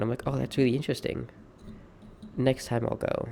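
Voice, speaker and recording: A man speaks at a fairly quick pace and a medium pitch, his tone dark and mellow. His intonation stays monotone and flat. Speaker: streamer. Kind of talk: personal monologue. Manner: halting.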